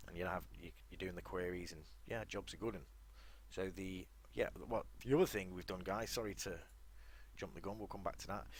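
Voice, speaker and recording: Vocal fry at a fairly quick pace, with long, frequent pauses. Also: man, very deep, low pitch for a man, ordinary pitch variation, big swings in loudness. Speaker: gaming YouTuber. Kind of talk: tutorial. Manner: soft-spoken.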